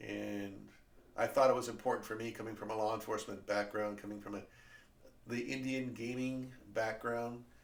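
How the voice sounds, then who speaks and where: A man with an American accent, flat monotone intonation, a moderate pace and audible room echo. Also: medium pitch for a man. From California. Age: 60s. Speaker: podcast host, former teacher. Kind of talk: casual monologue. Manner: hesitant, many fillers.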